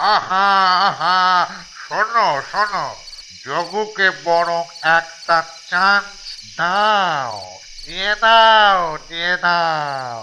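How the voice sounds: A cartoonish character voice sits at a middle pitch and moves very slowly. Background noise is clearly heard.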